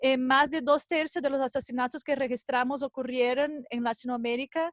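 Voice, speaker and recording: In a non-native accent, a woman speaks at a moderate pace with a high pitch and fairly even intonation, the sound dry and close with no echo. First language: not Spanish (speaking Spanish). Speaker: NGO researcher. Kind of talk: conference presentation. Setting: video call. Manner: halting.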